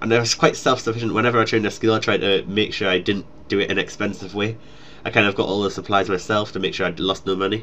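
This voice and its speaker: Speaking very fast, a man with a Geordie accent has a fairly low pitch and a bright, sharp tone. His delivery stays monotone and flat. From northeast England, Newcastle. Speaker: gaming YouTuber. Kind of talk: casual Q&A chat.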